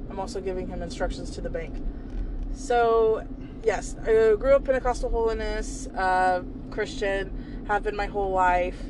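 Audible room echo carries a woman with an American accent who speaks at a moderate pace with long, frequent pauses. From US South. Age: 20s. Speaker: podcast host's sister. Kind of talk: casual chat. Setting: in a car.

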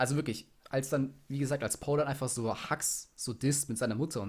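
A man's voice, somewhat breathy, with ordinary variation in pitch. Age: young. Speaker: podcast co-host. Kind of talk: casual chat.

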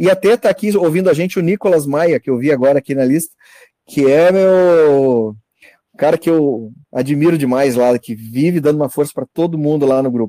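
At a moderate pace, a man speaks with a fairly high pitch and ordinary pitch variation in an unremarkable speaking voice. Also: dry, close sound with no echo. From northern Santa Catarina, Brazil. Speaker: dentist. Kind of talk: casual chat. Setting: video call.

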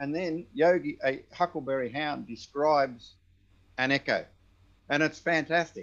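Against a quiet background, a man with an Australian accent speaks at a fairly high pitch and fairly slow pace, with ordinary pitch variation and long, frequent pauses. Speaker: audio technician.

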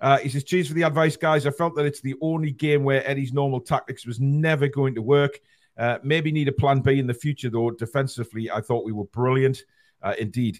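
In a Northeast English accent, a man speaks fairly quickly at a fairly high pitch, keeping his intonation fairly even. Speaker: football channel host. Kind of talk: casual chat. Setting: live online stream. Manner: chatty.

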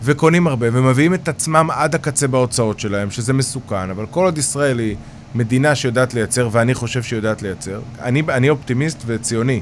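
With noticeable background noise behind him, a man speaks at a fairly quick pace, medium in pitch with ordinary pitch variation. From Israel, Haifa bay suburbs (Krayot). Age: 40s. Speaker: real estate developer. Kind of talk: interview.

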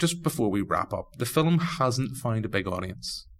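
A man with a Northern Irish accent. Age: 30s. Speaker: podcast host. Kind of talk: casual chat.

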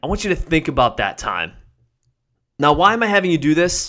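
Energetic and upbeat in tone, a man speaks with lively intonation. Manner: direct, commanding and motivational, using repeated imperatives; energetic, upbeat and encouraging, building to a rallying close.

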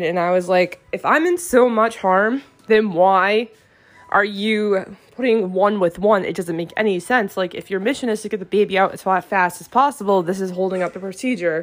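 This woman has a normal speaking voice with a medium pitch. She talks at a moderate pace with fairly even intonation. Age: 20s. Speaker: podcast host, beauty consultant. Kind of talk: personal monologue. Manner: frequent filler words (um).

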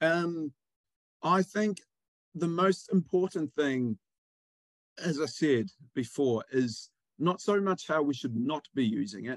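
A man with a New Zealand accent speaks at a fairly slow pace in a fairly high voice, with lively intonation, long and frequent pauses, and a dry, close sound with no echo. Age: 30s. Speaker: PR agency director. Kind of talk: interview.

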